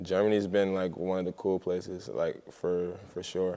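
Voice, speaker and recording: A man's very deep, low voice with a dark, mellow tone and an American accent, fairly slow and monotone, flat in intonation, on a very clean recording with a silent background. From US South, Columbia, South Carolina. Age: 20s. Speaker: professional basketball player. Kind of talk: casual interview.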